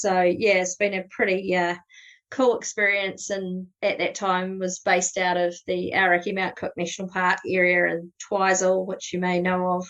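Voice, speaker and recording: Delivered at a moderate pace in a New Zealand accent, the speech has a monotone, flat intonation against a quiet background. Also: woman. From New Zealand, South Canterbury. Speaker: astrophotography guide. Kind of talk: podcast interview. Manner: casual, many fillers.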